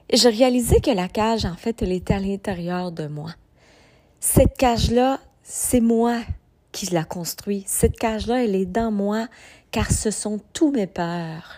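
Speaking with a Quebec accent at a very slow pace, a woman has a fairly high pitch, ordinary pitch variation and a dark, mellow tone on a very clean recording with a silent background. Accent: Québécois French. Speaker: podcast host, personal development coach. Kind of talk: motivational monologue. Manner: hesitant, many fillers.

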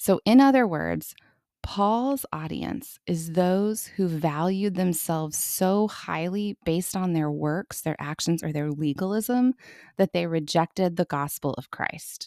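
Soft-spoken and fairly low-pitched, a woman speaks fairly slowly in a dark, mellow tone with lively intonation, on a very clean recording with a silent background and a dry, close sound with no echo. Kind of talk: Bible study teaching.

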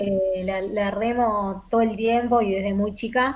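A woman speaks at medium pitch with fairly even intonation, somewhat breathy. Audible room echo surrounds her voice. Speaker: actress and broadcast announcer. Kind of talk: casual interview.

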